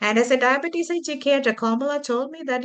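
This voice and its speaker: A woman projects a raised, high-pitched voice with a bright, sharp tone and lively intonation. She speaks at a moderate pace against a quiet background. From Kuwait, Indian family. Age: 50s. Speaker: community foundation host, abuse survivor. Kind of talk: online panel session.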